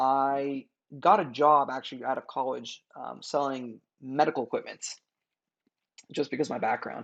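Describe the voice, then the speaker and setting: A man speaks with a Californian accent. The background is quiet. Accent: Californian American English. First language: Farsi. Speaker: entrepreneur. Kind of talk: podcast interview.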